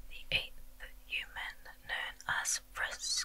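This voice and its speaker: A soft-spoken woman is whispering. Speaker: video game story narrator. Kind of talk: narrated story recap. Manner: soft ASMR whisper, slow storytelling. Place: home room.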